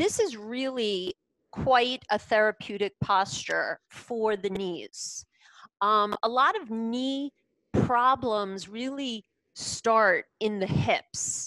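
A woman speaks at a very slow pace. The sound is dry with no echo, against a quiet background. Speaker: yoga teacher. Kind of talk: class instruction. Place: home room. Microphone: headset.

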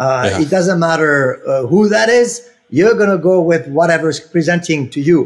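A man in a French accent, with lively intonation and a moderate pace, against a quiet background. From Senegal, West Africa (French family). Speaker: helicopter pilot and aerial coordinator for film; podcast guest. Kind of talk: casual interview. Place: home room. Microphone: earbuds.

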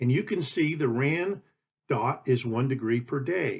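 A man speaks at a fairly slow pace. His voice is somewhat breathy and fairly high in pitch. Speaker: astrodynamics educator. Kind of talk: conversational educational voice-over. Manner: casual, one-take delivery with hesitations.

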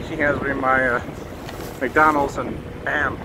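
Amid noticeable background noise, a man speaks at a moderate pace in a dry sound with no echo. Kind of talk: casual vlog commentary. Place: street. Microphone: phone near.

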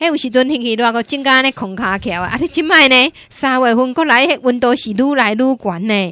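A woman's high, bright, sharp voice, animated and lively in intonation, at a fairly quick pace, dry with no echo over a quiet background. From Taiwan. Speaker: radio host. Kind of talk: radio call-in show. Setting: studio. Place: studio. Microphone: studio mic.

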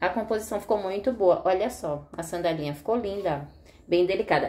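A woman speaks with ordinary pitch variation. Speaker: fashion vlogger. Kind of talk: casual vlog chat. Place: home room.

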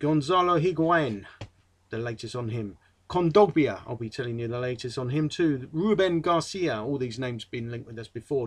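With an English accent, a man with a fairly high pitch talks at a fairly quick pace with lively intonation. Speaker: football fan vlogger. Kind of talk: casual monologue. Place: home room. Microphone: webcam.

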